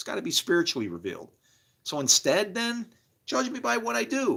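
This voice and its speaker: A man's bright, sharp voice with vocal fry and very wide pitch swings, fairly quick in pace, on a very clean recording with a silent background. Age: 60s. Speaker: livestreamer. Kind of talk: casual livestream monologue. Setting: live stream. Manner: animated; halting.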